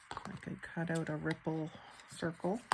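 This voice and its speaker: Soft-spoken delivery at a very slow pace. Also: woman. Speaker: crafter and online shop owner. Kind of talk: crafting tutorial. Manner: slow, thinking aloud.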